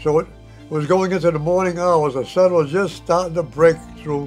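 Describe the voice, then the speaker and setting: Faint music plays in the background as a man speaks at a fairly high pitch with fairly even intonation. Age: 80s+. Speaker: war veteran. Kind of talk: testimony. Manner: halting. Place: home room.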